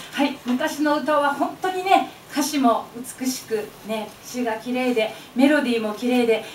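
A woman speaks at a high pitch. Audible room echo and light background noise fill the recording. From Osaka. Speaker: chindon street performer. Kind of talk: live stage emcee greeting. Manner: lively, humorous. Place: hall.

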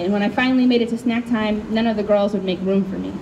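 Over noticeable background noise, a woman with a Chicago accent speaks at a very fast pace. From US Midwest. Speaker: poet. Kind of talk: poetry reading. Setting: stage with audience. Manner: loud. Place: tent. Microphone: handheld.

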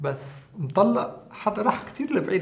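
This is a man speaking. His pace is fairly slow. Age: 30s. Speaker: skincare content creator. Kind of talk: casual vlog talk to camera. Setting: at home. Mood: playful, amused. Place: studio.

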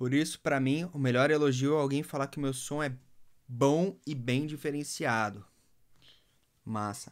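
A man speaks at a fairly slow pace with a Brazilian accent, leaving long, frequent pauses. His pitch varies in an ordinary way over a quiet background. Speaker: music producer and DJ mentor; DJ mentor. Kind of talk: live stream talk. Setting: Instagram live. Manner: casual, slangy. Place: studio. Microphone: phone near.

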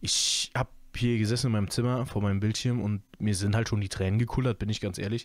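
A man talks very fast in a fairly low, monotone voice with flat intonation and very even loudness. The recording is very clean, with a silent background. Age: 20s. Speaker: YouTube podcaster, film and series commentator. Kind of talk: casual solo podcast monologue. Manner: relaxed, many filler sounds.

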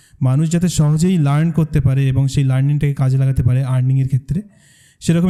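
A man's fairly high, somewhat breathy voice with a dark, mellow tone and fairly even intonation. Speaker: content creator and course co-founder. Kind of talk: presentation to audience.

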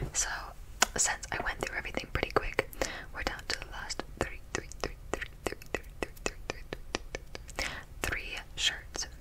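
A woman whispers at a fairly slow pace. Her pauses are long and frequent. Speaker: ASMR content creator. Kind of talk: ASMR clothing try-on haul. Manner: whispered. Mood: cheerful, playful. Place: home room. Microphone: studio mic.

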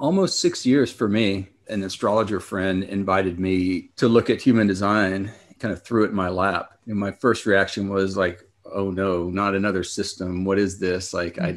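A man with an unremarkable speaking voice and a fairly low pitch, at a moderate pace with fairly even intonation, against a quiet background. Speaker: podcast co-host. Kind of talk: casual interview conversation.

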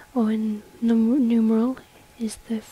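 Soft-spoken and fairly high-pitched, a woman talks against noticeable background noise. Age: young. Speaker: ASMR YouTuber. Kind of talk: soft-spoken ASMR reading.

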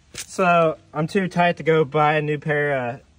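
A man in a dry sound with no echo. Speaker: truck restoration vlogger. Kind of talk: casual vlog chat. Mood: joking, self-deprecating. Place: open country. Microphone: phone near.

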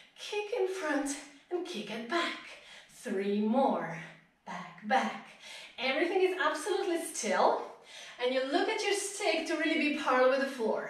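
A woman speaks at a moderate pace with very wide pitch swings. Long, frequent pauses break her speech, and room echo is audible. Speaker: pilates instructor. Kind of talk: live-led workout instruction, counting reps and cueing breath. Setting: live stream. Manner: encouraging and upbeat, rhythmic countdowns with frequent praise; directive, short imperative cues paced to movement. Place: home room.

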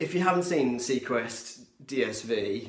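There is audible room echo around a man whose pitch varies in an ordinary way. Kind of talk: casual vlog chat. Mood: enthusiastic, nostalgic. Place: home room. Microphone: phone near.

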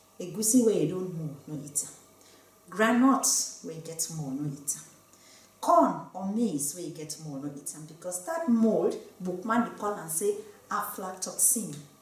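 The delivery has lively intonation, a fairly slow pace, and big swings in loudness, with audible room echo. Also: woman. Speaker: medical doctor. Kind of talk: health education talk to camera. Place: studio.

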